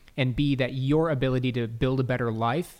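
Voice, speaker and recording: At a fairly quick pace, a man talks in an ordinary speaking voice, medium in pitch with fairly even intonation. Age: 20s. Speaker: entrepreneur and business coach. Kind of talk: interview.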